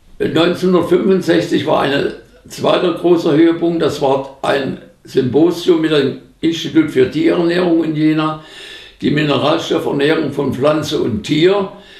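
A man with a fairly high pitch speaks at a fairly slow pace and fairly even intonation, with audible room echo over a quiet background. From Upper Franconia, Germany. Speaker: agricultural scientist. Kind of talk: interview answer. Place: home room.

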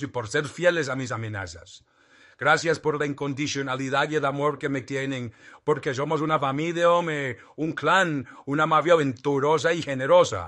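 Speaking at a moderate pace against a quiet background, this man has a fairly high pitch and a bright, sharp tone delivered in a solemn, deadpan way. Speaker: political satirist impersonating a politician. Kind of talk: satirical mock prayer of thanksgiving, parody speech. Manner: mock-solemn, deadpan piety dripping with sarcasm.

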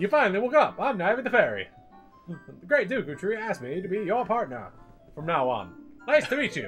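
In a put-on character voice at a middle pitch, the speaker swings very widely in pitch at a fairly quick pace. Clear music plays in the background. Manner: carnival barker delivery.

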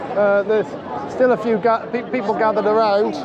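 Over crowd noise, a man with a high pitch talks at a fairly quick pace with fairly even intonation, and the sound is dry with no echo. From Wales. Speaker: YouTuber filming protests. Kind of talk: live vlog narration. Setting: outdoors at street protest. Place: street. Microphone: phone near.

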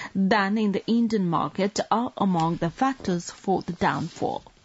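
Somewhat breathy and set against a quiet background, a woman's medium-pitched voice carries lively intonation at a moderate pace. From Nepal. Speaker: radio newsreader. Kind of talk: news reading. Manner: formal. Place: studio.

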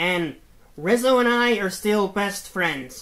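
Using a cartoonish character voice, a man speaks fairly slowly at a high pitch. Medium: puppet show. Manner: grandiose, theatrical proclamations.

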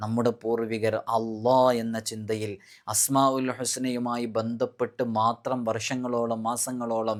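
A man with a medium-pitched voice speaks in a flat monotone on a very clean recording with a silent background. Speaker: Islamic spiritual teacher. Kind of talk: religious instruction talk. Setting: recorded video.

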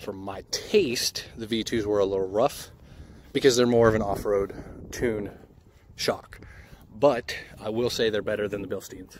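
A man speaks at a moderate pace in a plain, everyday voice, his pitch fairly low and his intonation fairly even. The sound is dry with no echo, over light background noise. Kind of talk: casual vlog chat. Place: street. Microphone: phone near.

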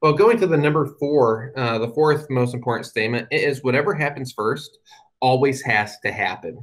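A man with an American accent speaks at a medium pitch. His pitch varies in an ordinary way against a quiet background. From US Midwest, Indianapolis; Indiana. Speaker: guest. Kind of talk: talk to an online audience. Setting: video call. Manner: talks too fast sometimes. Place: home room. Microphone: webcam.

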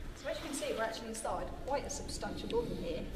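Loud noise fills the background. Over it, a woman talks at a very fast pace. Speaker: presenter. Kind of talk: casual vlog chat. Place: hall.

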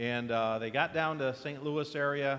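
A man's voice at a moderate pace with fairly even intonation. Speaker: pastor. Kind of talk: church announcements, casual welcome. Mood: warm, relaxed. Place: church.

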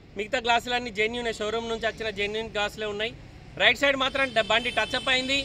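A raised, projected voice in a Telangana accent, with fairly even intonation, light background noise and a dry sound with no echo. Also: man. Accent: Telangana Telugu. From Telangana, Jagtial (Karimnagar district). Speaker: used car dealer; used car seller. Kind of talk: sales pitch. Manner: casual. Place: street. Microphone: phone near.

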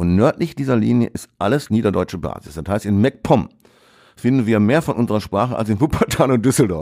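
Vocal fry runs through a dark, mellow tone delivered at a fairly quick pace with lively intonation. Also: man, fairly low pitch for a man. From Ruhr area, Essen. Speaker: author and retired teacher. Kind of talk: casual interview.

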